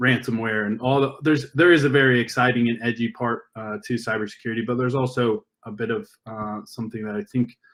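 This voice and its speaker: A man with an American accent speaks at a moderate pace and medium pitch, his intonation monotone and flat. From US, Northern California. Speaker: education and STEM industry partnerships presenter. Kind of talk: conference presentation. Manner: many fillers and false starts.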